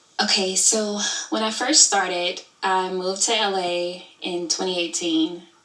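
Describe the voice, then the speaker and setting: Over noticeable background noise, a woman talks at a medium pitch and a fairly slow pace. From Alabama, US South. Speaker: YouTube creator and studio owner. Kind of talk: interview. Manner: animated.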